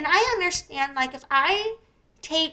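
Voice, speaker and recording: A woman projects a raised, squeaky voice with a bright, sharp tone. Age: 40s. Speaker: YouTuber and live streamer, deaf advocate. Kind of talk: live stream commentary. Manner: casual, rambling with fillers.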